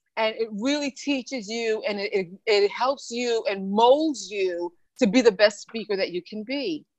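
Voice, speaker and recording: A woman with an unremarkable speaking voice talks at a fairly high pitch. Her pitch variation is ordinary and her pace fairly slow. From New York (born in the Bahamas). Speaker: motivational speaker and author. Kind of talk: interview.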